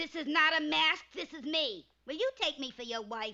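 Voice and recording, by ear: A cartoonish character voice, female-sounding and pitched high. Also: moderate pace.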